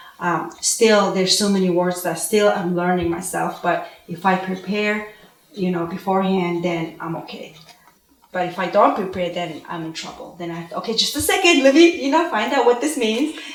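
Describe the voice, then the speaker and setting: A woman with a Mongolian accent, medium pitch and lively intonation, amid noticeable background noise and audible room echo. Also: moderate pace, big swings in loudness. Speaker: homeschooling parent, panelist. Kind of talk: panel discussion.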